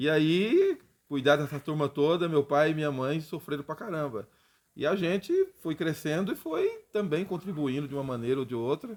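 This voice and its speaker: Speaking at a moderate pace, a man uses an unremarkable speaking voice with a fairly high pitch and ordinary pitch variation. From interior of São Paulo state, Brazil (Presidente Prudente). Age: 50s. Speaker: history teacher. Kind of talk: casual interview chat.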